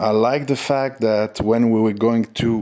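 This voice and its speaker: A man's fairly slow speech with a French accent and fairly even intonation. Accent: French accent, says his English is imperfect. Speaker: stock trading channel host. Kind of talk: casual market commentary. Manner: hesitant, many fillers.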